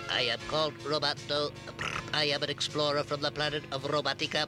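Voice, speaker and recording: Over loud background music, a man puts on a nasal character voice, fairly high-pitched and at a fairly quick pace. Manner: mechanical, soothing rhythm.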